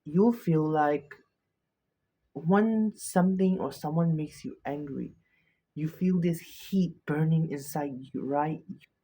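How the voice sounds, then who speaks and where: A soft-spoken man talks very slowly, with long, frequent pauses. His tone is dark and mellow, his pitch fairly high with ordinary variation. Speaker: self-help video creator. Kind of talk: motivational talk. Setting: filming at night, self-recorded. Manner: halting.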